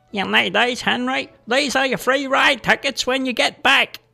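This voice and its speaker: A put-on character voice at a high pitch plays over faint music in the background. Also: moderate pace. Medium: audio drama.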